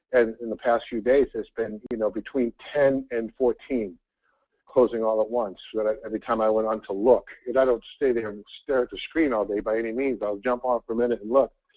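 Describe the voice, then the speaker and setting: With fairly even intonation and a medium pitch, a man talks at a fairly quick speed. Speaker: team trainer. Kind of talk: training call. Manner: halting.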